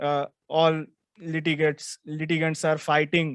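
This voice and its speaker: With a Gujarati accent, a man speaks at a fairly slow pace in a fairly high, monotone, flat voice, the sound dry and close with no echo. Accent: Indian English (Gujarati). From India, Gujarat. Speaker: lawyer and law student. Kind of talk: self-introduction.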